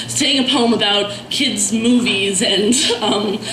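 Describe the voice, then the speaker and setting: Fairly even intonation against noticeable background noise. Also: woman. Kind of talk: casual introduction to audience. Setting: live open mic event.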